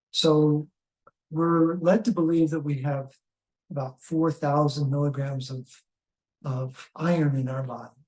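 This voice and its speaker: With long, frequent pauses, a somewhat breathy man talks at a fairly slow pace, a fairly high pitch and fairly even intonation. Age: 70s. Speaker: health educator. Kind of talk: interview. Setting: in person recording.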